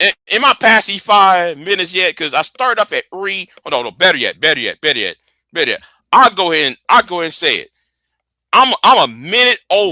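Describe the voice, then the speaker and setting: A man speaks in a raised, projected voice, high-pitched and bright, sharp in tone. He moves at a fairly quick pace with lively intonation, and the sound is dry and close with no echo. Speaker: live streamer. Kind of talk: heated debate. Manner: repetitive, stammering; heated, confrontational.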